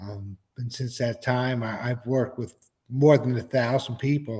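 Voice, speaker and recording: Breathy to a degree, a man with an American accent talks at a moderate pace in a medium pitch with monotone, flat intonation. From New York. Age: 70s. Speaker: hearing loss advocate. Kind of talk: interview.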